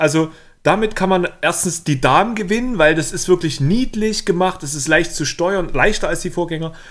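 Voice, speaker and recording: This man's voice sits high in pitch, moving at a moderate pace with ordinary pitch variation. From northern Germany, Kiel. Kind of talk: casual chat.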